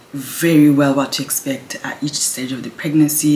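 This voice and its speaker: Against noticeable background noise, a woman with a very deep, low voice speaks quietly at a moderate pace. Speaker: pregnant mother vlogger. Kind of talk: casual talk to camera. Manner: quiet, low voice.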